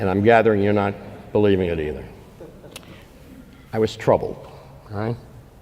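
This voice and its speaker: A man talks fairly quickly in a fairly low voice, yet with long, frequent pauses. His intonation is fairly even, and the room echo is audible. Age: 70s. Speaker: policy think tank founder and speaker. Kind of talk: invited lecture.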